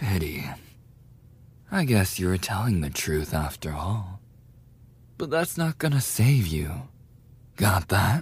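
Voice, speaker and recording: A man with a fairly low voice speaks at a very slow pace, leaving long, frequent pauses. His pitch swings very widely, and his voice is somewhat breathy. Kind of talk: scripted bully roleplay, ASMR audio drama. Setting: audio roleplay performance. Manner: aggressive, taunting, sneering with mocking laughs; snarling and explosive, jeering during the fight, then cracking and desperate.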